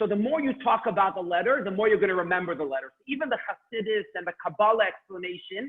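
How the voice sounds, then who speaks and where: A man with a high-pitched voice speaks loudly, with ordinary pitch variation. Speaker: Hebrew teacher. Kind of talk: online class. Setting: video call. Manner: loud and clear.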